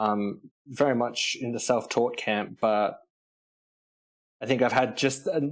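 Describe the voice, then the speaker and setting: A man with an Australian accent speaks at a medium pitch and a fairly slow pace. His intonation stays fairly even, broken by long, frequent pauses. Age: 30s. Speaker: composer. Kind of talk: interview.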